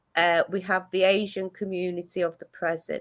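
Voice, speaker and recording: The pace is moderate. It is a very clean recording with a silent background. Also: woman. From Greece (Athens), moved to Manchester at eleven. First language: Greek. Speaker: community arts ambassador. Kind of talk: interview chat. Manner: halting, many fillers and restarts.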